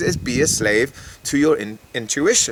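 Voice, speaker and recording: There is noticeable background noise as a man talks with an English accent. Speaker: spiritual guidance vlogger. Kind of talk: monologue to camera.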